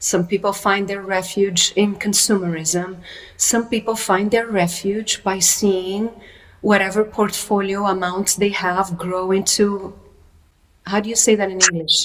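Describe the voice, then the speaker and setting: A woman at medium pitch with a non-native accent and monotone, flat intonation. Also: fairly slow pace. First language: not English. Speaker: workshop teacher. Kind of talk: interview conversation.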